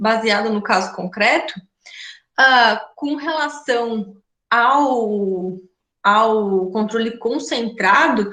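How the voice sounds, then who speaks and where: Bright and sharp in tone, a woman speaks very slowly at a fairly high pitch with lively intonation in a room with audible echo. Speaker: law professor. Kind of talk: lecture.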